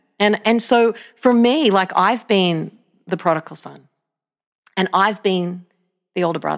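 In an Australian accent, a woman speaks fairly slowly at a medium pitch with ordinary pitch variation, leaving long, frequent pauses. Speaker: pastor. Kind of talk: casual interview.

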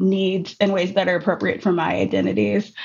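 This woman speaks in an American accent at a medium pitch. Vocal fry marks her voice. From Minneapolis, US Midwest. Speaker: poet and educator. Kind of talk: interview conversation.

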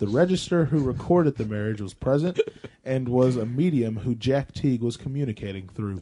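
With a normal speaking voice, a man talks at medium pitch and a fairly quick pace, his intonation lively. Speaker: podcast co-host. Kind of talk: casual chat.

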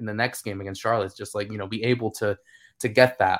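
A man's ordinary speaking voice at medium pitch, with an American accent and a fairly quick pace, on a very clean recording with a silent background. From United States. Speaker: football analyst. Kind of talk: casual chat.

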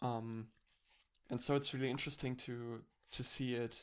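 The speaker has a German accent and keeps a moderate pace. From Germany. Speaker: podcast co-host, video essayist. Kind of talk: casual chat.

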